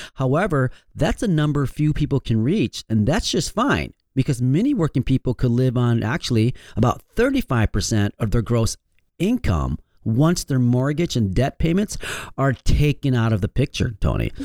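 With a Michigan accent, a man talks at medium pitch. His loudness is very even. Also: moderate pace, very clean recording, silent background. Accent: Michigan, general American. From Michigan, US. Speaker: financial advisor and radio host. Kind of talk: radio show presentation. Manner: friendly, conversational.

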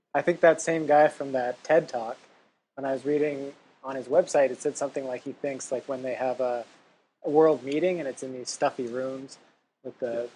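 Quiet overall, a man speaks at a medium pitch with big swings in loudness. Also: fairly even intonation, moderate pace. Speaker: podcast host, writer and travel entrepreneur. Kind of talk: interview; scripted intro and outro. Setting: remote audio call with crackling mic. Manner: quiet on the recording.

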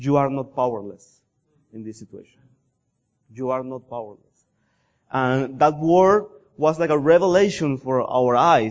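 With a Colombian accent, a man speaks at a moderate pace and medium pitch, with lively intonation, big swings in loudness and long, frequent pauses. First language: Spanish. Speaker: missionary pastor. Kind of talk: sermon. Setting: church.

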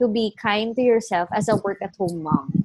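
A woman speaking at a moderate pace. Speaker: podcast host. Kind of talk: casual interview chat.

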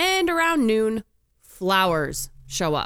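Very clean and silent in the background, the recording carries a woman's voice. Her tone is bright and sharp, with ordinary pitch variation. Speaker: podcast co-host. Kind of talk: casual chat.

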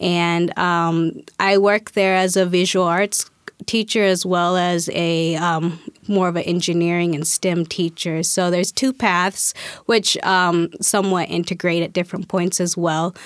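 A woman speaks with an American accent at a fairly slow pace, her pitch fairly low. Her intonation is monotone and flat, and her loudness stays very even. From Spokane, Washington, US. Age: 30s. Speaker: artist and teacher. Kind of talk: interview.

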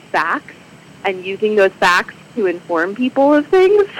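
Someone talks at a moderate pace with lively intonation and an American accent. Noticeable background noise runs under the speech. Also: woman. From Michigan. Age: 30s. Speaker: civic group president and librarian. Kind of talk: radio interview.

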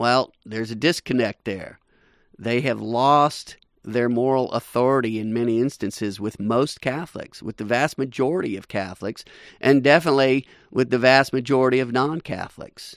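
A man of medium pitch talks in a plain, everyday voice with ordinary pitch variation. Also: moderate pace. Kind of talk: radio host patter. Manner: brisk, upbeat, promotional sign-off rhythm, repeating web address.

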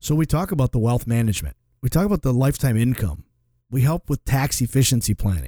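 Speaking at a very fast pace with lively intonation and very even loudness, a man with a medium pitch and a dark, mellow, somewhat breathy tone is heard on a very clean recording with a silent background and a dry, close sound with no echo. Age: 40s. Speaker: financial advisor and radio host. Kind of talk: radio show conversation.

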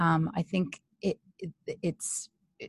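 A woman with an American accent speaks in a somewhat breathy, monotone voice with flat intonation, the sound dry and close with no echo. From California. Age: 50s. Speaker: family therapist. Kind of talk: interview. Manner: halting.

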